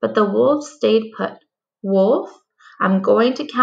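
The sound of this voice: An unforced reading voice in a quiet background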